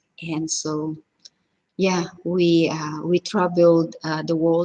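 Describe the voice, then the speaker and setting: Spoken very slowly in a strong Filipino accent, the delivery stays monotone with flat intonation. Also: woman. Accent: heavy Filipino. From Philippines, Cebu. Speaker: cooking vlogger. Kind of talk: casual live stream chat. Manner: halting, many fillers.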